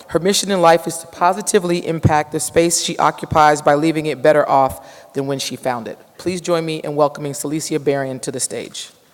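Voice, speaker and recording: Hardly any pauses break the fairly quick pace, with noticeable background noise behind. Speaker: conference emcee. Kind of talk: award ceremony hosting and speaker introduction. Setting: stage with audience. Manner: halting, stumbling over words.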